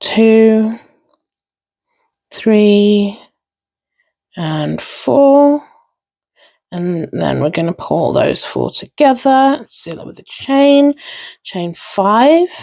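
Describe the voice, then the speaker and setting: A woman with a dark, mellow tone and a fairly high pitch speaks very slowly, with long, frequent pauses. Her pitch swings very widely, and her loudness shifts a lot. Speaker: crochet tutorial maker. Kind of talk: tutorial.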